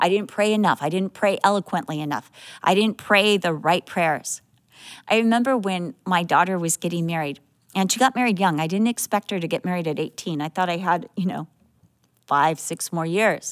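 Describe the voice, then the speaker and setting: Her medium-pitched, unremarkable speaking voice shows ordinary pitch variation as the woman talks at a moderate pace. The recording is very clean with a silent background. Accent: American. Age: 60s. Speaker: Bible teacher. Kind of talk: Bible teaching.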